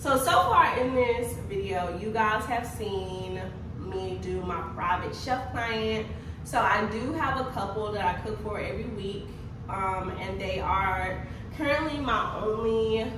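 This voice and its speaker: A woman is speaking in a room with audible echo. Noticeable background noise runs underneath. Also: fairly slow pace. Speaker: wellness coach. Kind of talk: casual vlog chat. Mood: upbeat, relieved. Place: home room.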